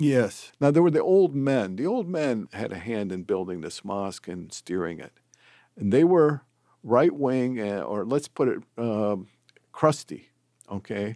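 A man speaks at medium pitch and a fairly slow pace, with very wide pitch swings and big swings in loudness. The recording is very clean, with a silent background. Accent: American. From Dearborn, Michigan, US. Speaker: author and researcher. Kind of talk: interview.

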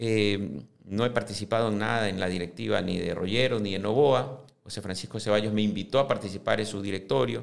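With vocal fry and a fairly low pitch, a man talks at a fairly quick pace with hardly any pauses and ordinary pitch variation. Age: 50s. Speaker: businessman and football club presidential candidate. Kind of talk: interview. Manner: halting, frequent fillers and repetitions.

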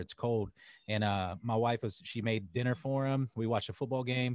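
A man speaks in a medium pitch. His intonation is fairly even. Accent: American. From US South, North Carolina. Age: 30s. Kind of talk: casual interview chat.

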